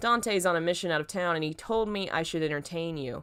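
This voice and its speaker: A woman's put-on character voice, fairly low in pitch, at a very fast pace, on a very clean recording with a silent background. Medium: read story. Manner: casual, friendly.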